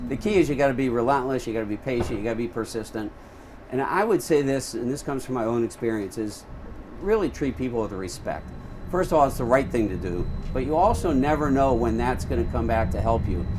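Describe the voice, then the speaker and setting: With audible room echo and noticeable background noise, a man talks at a very fast pace in a medium pitch with lively intonation. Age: 60s. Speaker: university athletic director. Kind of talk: interview. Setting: on board a streetcar.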